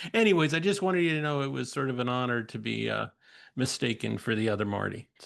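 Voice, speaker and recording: At a very fast pace, a man talks in a medium-pitched voice. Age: 60s. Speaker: podcast host, counselor educator. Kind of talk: casual conversation. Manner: halting, many false starts.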